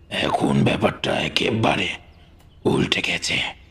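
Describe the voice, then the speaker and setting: A man speaks in a put-on character voice. The voice is raspy. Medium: read story. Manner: warm but commanding.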